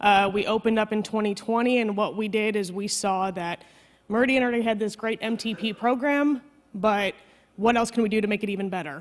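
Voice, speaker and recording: Intonation stays fairly even as a woman speaks at a fairly quick pace. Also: fairly high pitch for a woman. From Chicago, US Midwest. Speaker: maternal health program coordinator. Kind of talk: conference presentation. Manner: fast.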